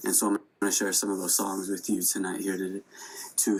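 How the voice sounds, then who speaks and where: A man's fairly low voice with an American accent. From Sicangu Lakota reservation, South Dakota, US. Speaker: hip hop artist and musician. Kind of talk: casual talk between songs at online concert. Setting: Instagram live concert.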